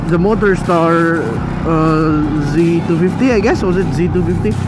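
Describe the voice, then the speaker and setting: At a very slow pace, the voice comes through dry with no echo, with music in the background. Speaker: motovlogger rider. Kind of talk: casual vlog chat, product review. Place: motorbike.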